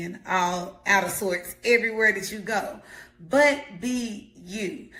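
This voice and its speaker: A woman speaks with a bright, sharp tone and ordinary pitch variation, and room echo is audible. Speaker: life coach. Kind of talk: motivational talk. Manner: loud; animated.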